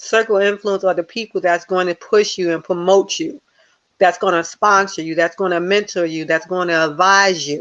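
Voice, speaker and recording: The speaker has a New Jersey accent and fairly even intonation. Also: woman. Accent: New Jersey American. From US Northeast, Newark New Jersey. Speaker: life coach and motivational speaker. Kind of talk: interview.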